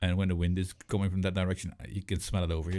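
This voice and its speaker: This man talks at a very fast pace with a non-native accent. His pitch is very deep and low. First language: not English. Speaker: vape show co-host. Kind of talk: casual chat.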